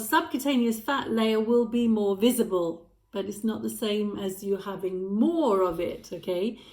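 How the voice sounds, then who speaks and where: Her fairly high-pitched voice moves at a fairly slow pace, and this woman's pitch varies in an ordinary way. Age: 60s. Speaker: lifestyle vlogger. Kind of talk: casual talk to camera. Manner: hesitant with fillers.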